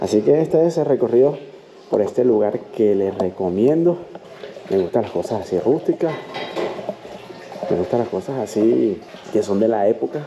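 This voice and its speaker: A man with a medium-pitched voice speaks at a moderate pace with lively intonation, leaving long, frequent pauses over noticeable background noise. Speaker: travel vlogger. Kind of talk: travel vlog tour. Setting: indoors at a hostel.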